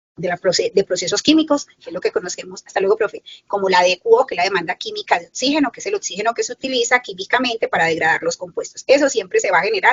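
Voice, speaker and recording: A woman talks at a very fast pace. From Colombian Caribbean coast, Caucasia (Antioquia). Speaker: environmental engineering professor. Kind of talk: lecture.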